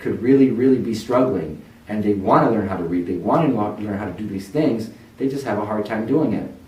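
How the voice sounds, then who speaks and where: A man speaks with a fairly low pitch. The room adds an audible echo. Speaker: tutoring center founder. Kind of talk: personal testimony. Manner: earnest, encouraging.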